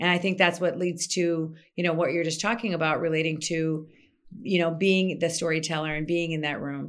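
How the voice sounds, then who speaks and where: With an American accent, a woman speaks in an unremarkable speaking voice, fairly low and fairly even, at a fairly quick pace on a very clean recording with a silent background. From US Midwest, Minnesota. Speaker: PR consultant. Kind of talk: interview.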